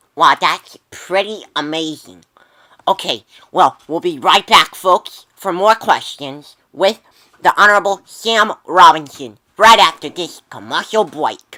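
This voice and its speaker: A woman's put-on character voice at a medium pitch and a fairly slow pace. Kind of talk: amateur skit acting. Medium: comedy sketch. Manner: eager, easily impressed.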